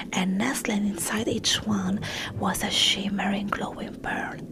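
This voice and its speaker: A soft-spoken woman's whisper over noticeable background noise. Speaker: ASMR creator. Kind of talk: ASMR audiobook reading of a children's story. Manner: whispered, soft-spoken.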